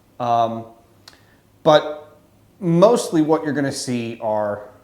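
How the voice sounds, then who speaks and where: In an American accent, a man speaks at a very slow pace. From Louisiana, US South. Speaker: photographer and YouTuber. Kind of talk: casual to-camera monologue. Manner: wordy, rambling with fillers.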